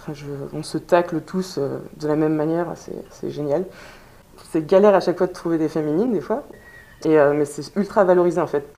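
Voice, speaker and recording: Over noticeable background noise, a woman speaks at a moderate pace with a very deep, low pitch. Her intonation is fairly even, broken by long, frequent pauses. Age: 20s. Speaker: amateur american football player. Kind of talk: interview testimony. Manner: halting.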